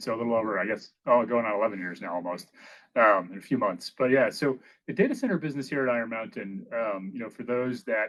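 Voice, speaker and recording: Pitch varies in an ordinary way for this man, sitting at medium. He speaks at a very fast pace. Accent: New England. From Maine, US Northeast. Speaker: business executive. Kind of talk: podcast interview. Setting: company headquarters office.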